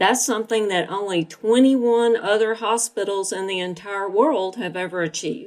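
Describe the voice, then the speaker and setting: Recorded very cleanly against a silent background, a woman with an Alabama accent speaks at a medium pitch with ordinary pitch variation. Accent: Alabama Southern US. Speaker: nurse and healthcare IT executive. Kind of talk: interview podcast.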